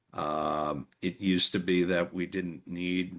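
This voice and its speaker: A man with an American accent talks at a very deep, low pitch, with vocal fry. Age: 70s. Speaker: environmental advocate. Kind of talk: interview.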